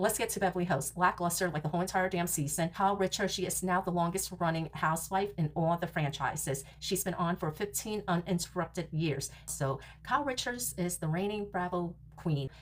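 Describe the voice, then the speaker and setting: A woman talks with vocal fry and an animated tone, her pitch varying in an ordinary way and hardly any pauses breaking her speech. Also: fairly low pitch for a woman, fairly quick pace. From New York. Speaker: reality TV podcaster. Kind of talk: casual recap monologue. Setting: home recording room.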